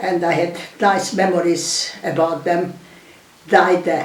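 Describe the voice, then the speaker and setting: A woman with a Hungarian accent at a medium pitch, speaking very slowly, with audible room echo and noticeable background noise. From Hungary. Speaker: war refugee, elderly emigrant. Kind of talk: oral history interview. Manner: halting.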